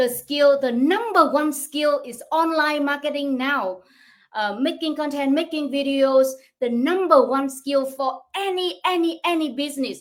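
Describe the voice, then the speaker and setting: A high-pitched woman with a Vietnamese accent, speaking at a fairly slow pace with ordinary pitch variation. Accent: non-native English, Vietnamese. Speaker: online business coach. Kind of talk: livestream talk. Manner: halting.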